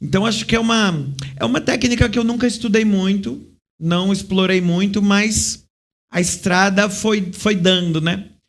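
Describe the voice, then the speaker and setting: A man speaks in a high voice with ordinary pitch variation. Room echo is audible. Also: fairly slow pace. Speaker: clown and theatre actor. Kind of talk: interview.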